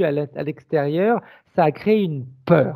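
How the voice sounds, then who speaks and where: The voice has a dark, mellow tone and lively intonation. The sound is dry and close with no echo. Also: man. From France. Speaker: regression hypnotist. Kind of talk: spiritual consultation discussion.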